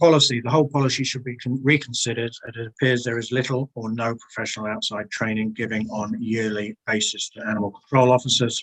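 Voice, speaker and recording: A man with an English accent talks at a very fast pace with hardly any pauses. His pitch is medium and his intonation fairly even. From England. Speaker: submitter at council bylaw hearing. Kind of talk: public submission summary at council hearing.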